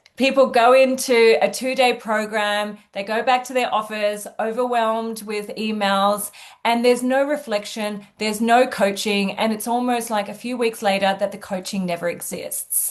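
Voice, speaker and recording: Speaking with an Australian accent, a woman uses a fairly high pitch and fairly even intonation at a moderate pace, hardly pausing, against a quiet background. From Australia, Sydney. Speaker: executive coach. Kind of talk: interview.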